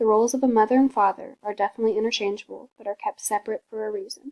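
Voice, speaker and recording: Soft-spoken and very fast, a woman talks at a fairly high pitch with fairly even intonation, in a dry, close sound with no echo. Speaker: college student. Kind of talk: class presentation.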